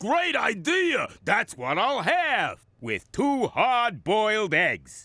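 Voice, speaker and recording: A man's cartoonish character voice, raised and projected, at an extremely high pitch with very wide pitch swings and a very slow pace. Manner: hungry, gleeful.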